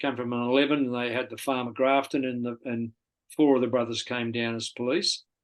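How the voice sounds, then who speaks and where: In an Australian accent, a man speaks fairly quickly with a medium pitch and flat, monotone intonation. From Australia, Sydney eastern suburbs. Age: 70s. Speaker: golf club volunteer and charity organiser. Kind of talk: interview.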